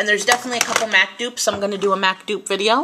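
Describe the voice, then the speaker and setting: A woman with a bright, sharp tone speaks at a medium pitch in a New York accent. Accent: New York accent, shows on some words. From US Northeast, New York. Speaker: beauty vlogger. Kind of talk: product review. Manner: animated.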